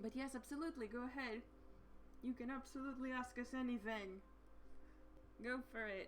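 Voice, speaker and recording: A woman's high-pitched voice at a fairly quick pace, with long, frequent pauses, fairly even intonation, very even loudness, and noticeable background noise. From Slovenia. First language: Slovenian. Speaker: livestream co-host. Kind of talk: casual chat. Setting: live stream. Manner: halting.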